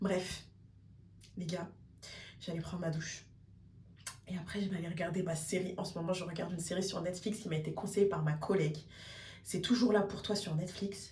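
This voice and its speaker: A woman at medium pitch and a fairly quick pace, with long, frequent pauses and audible room echo. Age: 30s. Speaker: vlogger and primary school teacher. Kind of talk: casual vlog talk. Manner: animated.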